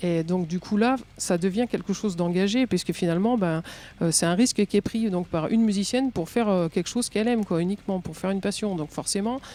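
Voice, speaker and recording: A woman talks at a very fast pace in a medium pitch. Her tone is dark and mellow, with ordinary pitch variation. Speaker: metal musician. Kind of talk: podcast interview answer.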